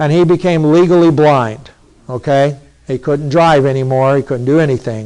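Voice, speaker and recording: With an unremarkable speaking voice, a man talks at a moderate pace and a fairly high pitch, using ordinary pitch variation. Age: 60s. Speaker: pastor. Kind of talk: sermon.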